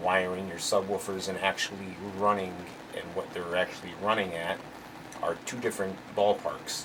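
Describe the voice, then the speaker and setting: A man keeps a moderate pace as noticeable background noise runs behind him. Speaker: car audio amplifier tester, YouTuber. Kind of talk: tutorial. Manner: halting, many fillers.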